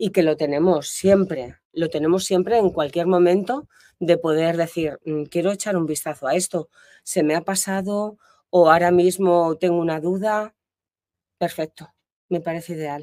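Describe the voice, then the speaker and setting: A woman with a fairly low pitch and a dark, mellow tone speaks at a moderate pace with fairly even intonation, the sound dry with no echo against a quiet background. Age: 60s. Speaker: diving student. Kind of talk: interview. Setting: in person on location. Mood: warm, grateful, relaxed. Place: open country. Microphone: lapel.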